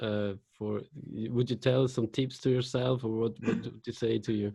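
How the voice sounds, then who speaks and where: Speaking at a moderate pace, a man with a medium-pitched voice sounds somewhat breathy, his dark, mellow tone held in a flat monotone. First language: Swiss German. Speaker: radio show host. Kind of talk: interview. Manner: halting.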